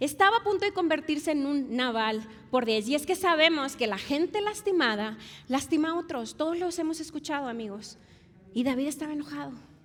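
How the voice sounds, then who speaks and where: This woman has a high voice and a Monterrey accent. Her tone is animated, her intonation lively, and her pace fairly quick. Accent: Monterrey (regio). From Mexico, Monterrey. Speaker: pastor. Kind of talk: sermon.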